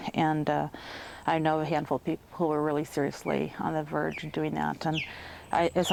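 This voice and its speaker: A woman's very deep, low voice with vocal fry and an American accent, at a fairly quick pace. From Chicago, Illinois. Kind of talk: interview answer.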